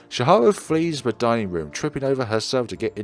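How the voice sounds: Lively intonation in a natural reading voice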